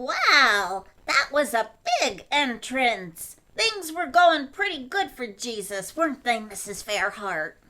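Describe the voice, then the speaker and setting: In a cartoonish character voice that sounds female, the speaker talks at a fairly high pitch and a fairly slow pace. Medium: puppet.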